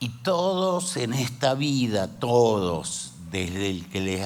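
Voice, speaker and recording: A man talks at a very slow pace with a medium pitch. Noticeable background noise and audible room echo surround his voice. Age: 60s. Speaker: pastor. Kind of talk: sermon.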